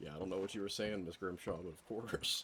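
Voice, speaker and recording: The speech moves at a very fast pace. Background noise is clearly heard. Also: man, very deep, low pitch for a man. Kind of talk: casual gameplay commentary. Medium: game stream.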